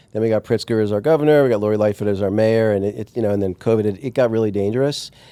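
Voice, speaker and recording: With an American accent, a man speaks at a very fast pace in a fairly low, dark, mellow voice with fairly even intonation. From US Northeast, Long Island, New York. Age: 50s. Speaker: entrepreneur. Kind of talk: interview.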